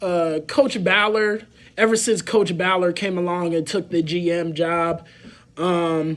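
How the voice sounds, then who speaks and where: Speaking with an American accent, a man uses a high pitch and ordinary pitch variation. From Indianapolis, Indiana (east side). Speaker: sports podcast host. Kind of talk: solo sports podcast commentary. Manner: halting, many fillers.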